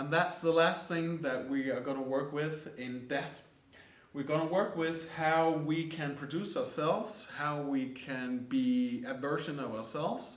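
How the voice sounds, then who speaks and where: Speaking very slowly with a Danish accent, a man with a fairly high pitch is heard over noticeable background noise and audible room echo. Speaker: coaching course teacher. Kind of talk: lecture.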